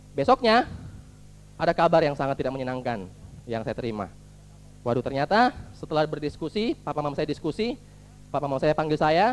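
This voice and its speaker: A man with a fairly high pitch and very wide pitch swings talks at a fairly quick pace, broken by long, frequent pauses. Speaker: motivational speaker at business seminar. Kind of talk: motivational talk.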